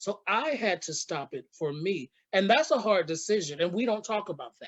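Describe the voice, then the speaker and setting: Moderate pace, an American accent, big swings in loudness, an animated tone and very wide pitch swings. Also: man, high pitch for a man. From Los Angeles, US. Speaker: podcast host, actor and drag performer. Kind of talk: casual interview chat.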